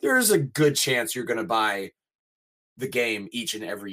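Using a normal speaking voice, a man talks at a fairly quick pace and medium pitch in a very clean recording with a silent background. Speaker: voice actor, mocap performer and wrestling announcer. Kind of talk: casual interview chat.

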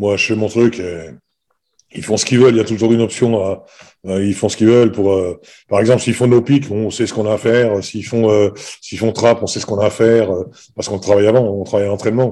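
The tone is dark and mellow, with a fairly quick pace, fairly even intonation, and long, frequent pauses. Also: man, fairly low pitch for a man. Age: 60s. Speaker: basketball coach. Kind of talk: interview. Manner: halting, many hesitations.

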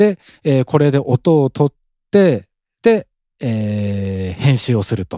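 A man with a medium pitch and a dark, mellow tone speaks with very wide pitch swings and big swings in loudness. The sound is dry and close with no echo, on a very clean recording with a silent background. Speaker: real estate podcast host. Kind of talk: solo casual talk. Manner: mumbling.

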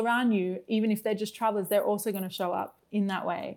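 In an Australian accent, a woman speaks fairly quickly at a medium pitch. Her intonation is monotone and flat, and the recording is very clean with a silent background. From Australia, Brisbane. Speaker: guest experience consultant. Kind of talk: casual interview chat.

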